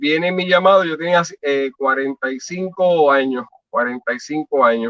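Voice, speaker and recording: In a normal speaking voice, the speaker talks at a moderate pace with ordinary pitch variation. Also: man, fairly high pitch for a man. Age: 60s. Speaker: pastor. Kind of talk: testimony.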